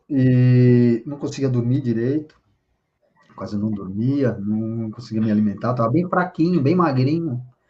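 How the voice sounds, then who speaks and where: Here a man uses an ordinary speaking voice at a medium pitch. He talks at a fairly slow pace with ordinary pitch variation. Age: 60s. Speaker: spiritual leader. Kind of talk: interview.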